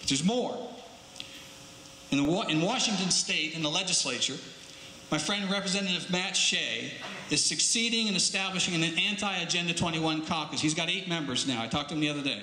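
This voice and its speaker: A man speaks at a very fast pace and a high pitch, with ordinary pitch variation and very even loudness. Noticeable background noise and audible room echo fill the recording. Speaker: political activist speaker. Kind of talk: public speech.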